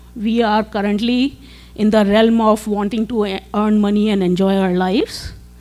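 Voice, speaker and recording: A woman's fairly high-pitched, monotone, flat delivery at a moderate pace, with music in the background. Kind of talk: presentation to teachers. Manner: hesitant with fillers.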